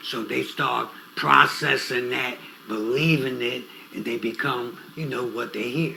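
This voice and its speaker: With audible room echo and noticeable background noise, a man of medium pitch talks fairly slowly, his pitch varying in an ordinary way. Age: 70s. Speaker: youth mentor, interview guest. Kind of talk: interview. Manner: conversational, storytelling.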